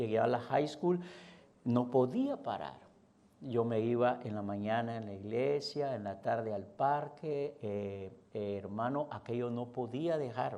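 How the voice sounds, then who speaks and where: With audible room echo, a man talks at a fairly slow pace in a dark, mellow voice at medium pitch with ordinary pitch variation. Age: 60s. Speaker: pastor. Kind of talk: sermon.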